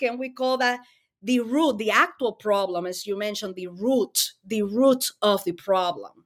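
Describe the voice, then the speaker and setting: A woman with a Spanish accent talks at a moderate pace with lively intonation. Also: very clean recording, silent background. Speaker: mental health advocate. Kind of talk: interview conversation.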